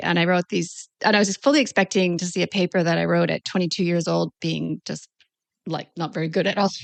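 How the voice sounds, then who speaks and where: A woman with a Canadian accent has a plain, everyday voice. She speaks at a fairly quick pace and a fairly low pitch. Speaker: naturopathic doctor. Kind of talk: interview. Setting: podcast.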